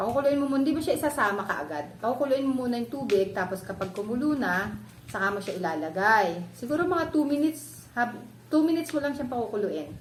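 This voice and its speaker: Very wide pitch swings at a fairly quick pace, with audible room echo and noticeable background noise. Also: woman. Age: 40s. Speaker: vlogger. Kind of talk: tutorial. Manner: casual, halting with fillers.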